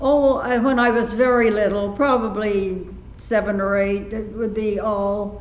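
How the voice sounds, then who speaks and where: Fairly slow speech amid audible room echo and noticeable background noise. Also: woman. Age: 80s+. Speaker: elderly woman recalling childhood recitations. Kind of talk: interview. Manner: halting.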